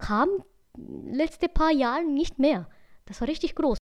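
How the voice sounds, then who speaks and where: A high-pitched woman with a Franconian accent and lively intonation. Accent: Franconian-tinged German. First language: Japanese (speaking German). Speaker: podcast co-host. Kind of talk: casual chat. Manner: halting, non-native phrasing.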